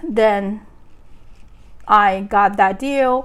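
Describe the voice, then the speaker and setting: A woman with a non-native accent speaks at a fairly high pitch, her pitch varying in an ordinary way. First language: not English. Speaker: real estate agent. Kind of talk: vlog monologue. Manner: halting.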